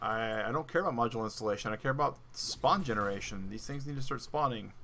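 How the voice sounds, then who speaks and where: Speaking at a very fast pace, a man with an American accent has a bright, sharp tone. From US South. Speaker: gaming streamer. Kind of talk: live gameplay commentary.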